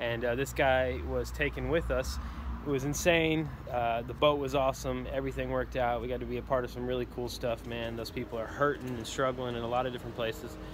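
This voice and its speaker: Noticeable background noise runs throughout. Over it, a man speaks at a fairly quick pace. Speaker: vlogger. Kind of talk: casual vlog chat. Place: street. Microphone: phone near.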